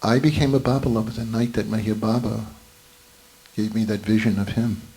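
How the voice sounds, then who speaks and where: A man's medium-pitched, monotone, flat delivery with audible room echo and noticeable background noise. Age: 70s. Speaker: spiritual gathering participant. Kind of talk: testimony.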